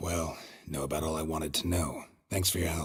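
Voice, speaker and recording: Putting on a character voice, a man speaks fairly quickly in a very deep, low, raspy register. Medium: video game. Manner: dry, terse.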